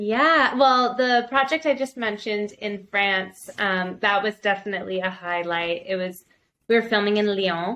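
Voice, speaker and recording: Bright and sharp in tone, a woman with a Canadian accent speaks at a medium pitch with ordinary pitch variation. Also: moderate pace. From Canada. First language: bilingual French and English. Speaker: actress and producer. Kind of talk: interview.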